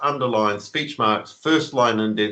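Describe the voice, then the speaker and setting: A man speaks in a New Zealand accent. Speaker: conspiracy author. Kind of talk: interview. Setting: video call.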